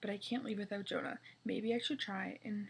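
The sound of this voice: The delivery is an unforced reading voice whose intonation stays fairly even.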